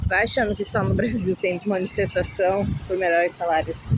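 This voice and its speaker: A woman talks at a moderate pace with fairly even intonation. The sound is dry with no echo, though noticeable background noise is present. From Brazil. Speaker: vlogger. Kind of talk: casual walking vlog. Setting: outdoors. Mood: mildly complaining, conversational. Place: street. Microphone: phone near.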